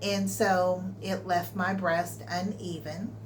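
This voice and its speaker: Noticeable background noise and audible room echo surround a speaker with an American accent. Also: woman. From Texas. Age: 60s. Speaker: vlogger. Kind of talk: personal health vlog.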